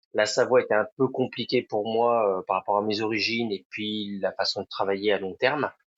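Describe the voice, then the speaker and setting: Hardly pausing, a man speaks at a fairly low pitch in a monotone, flat intonation. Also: moderate pace. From France, Sarthe (Pays de la Loire). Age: 40s. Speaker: restaurant owner. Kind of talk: podcast interview. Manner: hesitant, many fillers.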